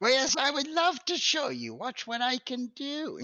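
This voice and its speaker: A put-on character voice at a moderate pace. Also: man, extremely high pitch for a man. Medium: actual play. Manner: rambling, absent-minded.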